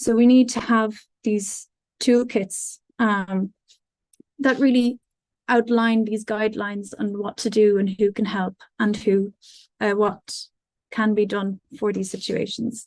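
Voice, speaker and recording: A woman with an Irish accent speaks in a monotone, flat way, her voice somewhat breathy and broken by long, frequent pauses. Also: fairly high pitch for a woman, fairly slow pace, dry, close sound with no echo. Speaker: music student. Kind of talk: conference presentation. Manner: hesitant, many fillers.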